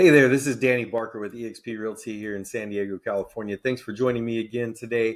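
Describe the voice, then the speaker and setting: Over a silent background in a very clean recording, a man at medium pitch talks at a very fast pace with hardly any pauses, fairly even intonation, and big swings in loudness. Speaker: realtor and Navy veteran. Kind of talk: educational explainer video.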